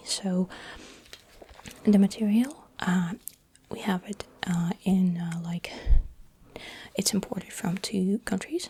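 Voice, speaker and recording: A soft-spoken man talks in a high voice at a very slow pace. His intonation stays fairly even. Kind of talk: ASMR dentist roleplay.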